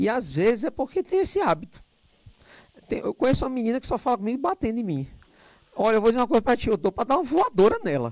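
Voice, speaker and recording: A man talks very fast and loud at an extremely high pitch, his pitch swinging very widely. He leaves long, frequent pauses, and the sound is dry and close with no echo. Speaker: lecturer. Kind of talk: lecture.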